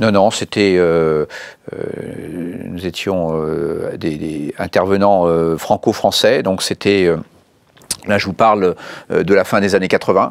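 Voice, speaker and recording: A man with a very deep, low pitch talks at a very slow pace, leaving long, frequent pauses. His intonation is fairly even, and the sound is dry with no echo. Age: 60s. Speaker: bank executive; interviewee. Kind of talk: interview. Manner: halting, many hesitations and repeated words; formal. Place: studio. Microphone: lapel.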